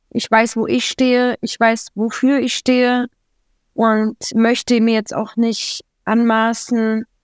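In a dry, close recording with no echo, a woman talks very slowly at a fairly high pitch in a monotone, flat delivery. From Berlin, Germany. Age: young. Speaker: interview guest. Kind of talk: conversational interview.

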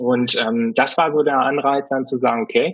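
At a moderate pace, a man talks in a medium pitch. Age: 30s. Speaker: gin brand founder. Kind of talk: interview. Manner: halting, many fillers.

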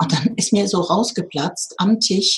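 A woman is speaking, her voice somewhat breathy. Her pitch varies in an ordinary way. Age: 50s. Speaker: spiritual teacher and medium. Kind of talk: interview.

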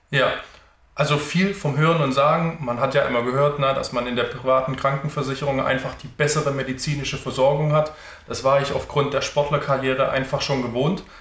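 Against noticeable background noise, a man talks at a fairly quick pace in a fairly high pitch with monotone, flat intonation. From Stuttgart area, Germany. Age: 30s. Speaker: sales consultant, former handball player. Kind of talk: interview.

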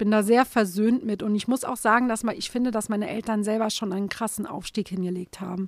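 A fairly high-pitched woman's voice at a very fast pace with hardly any pauses, big swings in loudness and fairly even intonation. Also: dry, close sound with no echo. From Saarland, Germany. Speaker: comic artist. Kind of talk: interview conversation.

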